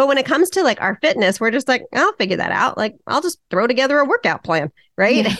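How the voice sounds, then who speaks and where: The voice moves at a very fast pace with very wide pitch swings. The sound is dry and close, with no echo. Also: woman, high pitch for a woman. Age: 50s. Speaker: fitness coach for women over 40. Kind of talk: interview. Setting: remote call.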